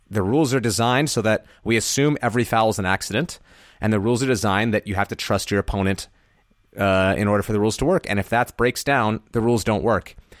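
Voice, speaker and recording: A man's fairly low voice at a very fast pace, with ordinary pitch variation and very even loudness, in a dry, close sound with no echo on a very clean recording with a silent background. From half Colombian. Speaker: ultimate frisbee podcast host. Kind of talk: casual sports chat.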